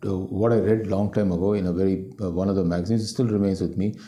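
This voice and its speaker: A man's fairly low, dark, mellow voice with a Tamil accent, ordinary pitch variation and a fairly quick pace, in audible room echo. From Delhi, India. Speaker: company CEO. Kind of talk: interview. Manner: halting, many fillers and repetitions.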